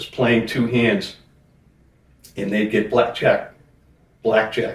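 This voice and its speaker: A man with an American accent, medium pitch and ordinary pitch variation, somewhat breathy, at a very slow pace. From Boston, Massachusetts. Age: 60s. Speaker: junk removal business owner. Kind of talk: interview.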